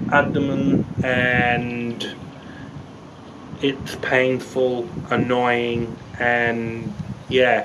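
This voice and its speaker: A man is speaking. Loud noise fills the background. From Brisbane, Queensland, Australia. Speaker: vlogger sharing a health story. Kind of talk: casual vlog talk to camera. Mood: reflective, a little weary. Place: open country. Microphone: phone near.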